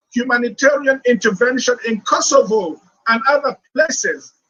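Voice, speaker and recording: In a dry, close recording with no echo, a man speaks at a moderate pace in a raised, projected voice with an extremely high pitch and a bright, sharp tone. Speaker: economist and former central banker. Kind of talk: panel speech. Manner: loud.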